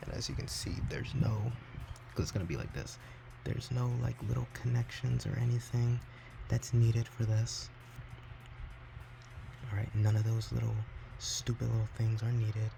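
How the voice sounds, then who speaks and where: A man speaks quietly at a moderate pace, with long, frequent pauses. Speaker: console modder. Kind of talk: casual tutorial talk to camera.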